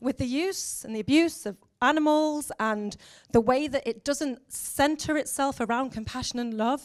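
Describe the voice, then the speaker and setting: A woman's high voice at a moderate pace with ordinary pitch variation, on a very clean recording with a silent background. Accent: English. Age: 40s. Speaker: education officer and former teacher. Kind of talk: conference talk. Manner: animated.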